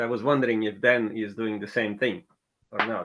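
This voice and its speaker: A man with a Russian accent, medium pitch and fairly even intonation, at a moderate pace. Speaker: tech working group member. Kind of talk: casual chat.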